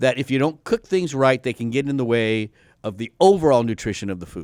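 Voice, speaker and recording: Dry and close with no echo, a man's voice moves at a fairly quick pace with lively intonation at medium pitch. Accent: American. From Texas. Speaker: health educator, doctor. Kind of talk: casual chat. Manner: halting, stammering.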